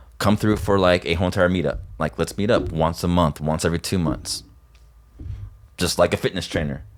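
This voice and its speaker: Very deep and low, a man's voice with an American accent moves at a fairly quick pace in a very clean recording with a silent background. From Northern California. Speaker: artist manager. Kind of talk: podcast interview. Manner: animated.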